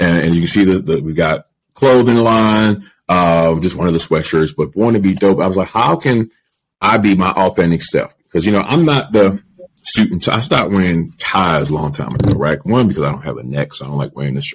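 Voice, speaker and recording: A man with a very deep, low pitch speaks fairly quickly. His intonation is lively, with light background noise. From Baltimore, Maryland. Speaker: media entrepreneur; podcast guest. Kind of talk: interview conversation. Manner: casual, filler-heavy. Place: home room. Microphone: studio mic.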